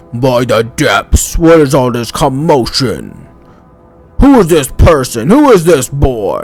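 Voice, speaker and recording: Putting on a character voice, a man speaks at a fairly slow pace and fairly high pitch while faint music plays in the background. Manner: booming, commanding.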